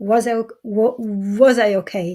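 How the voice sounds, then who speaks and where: Recorded very cleanly against a silent background, a woman with an Israeli accent speaks at medium pitch in a dark, mellow tone. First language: Hebrew. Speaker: mother sharing her story. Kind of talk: testimony. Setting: live-streamed summit. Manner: halting.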